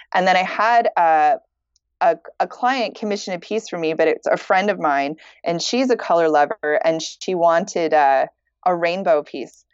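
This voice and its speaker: With a Canadian accent, a woman speaks in an ordinary speaking voice at a fairly low pitch and a moderate pace, with ordinary pitch variation. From Canada. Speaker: fiber artist. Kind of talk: casual interview chat.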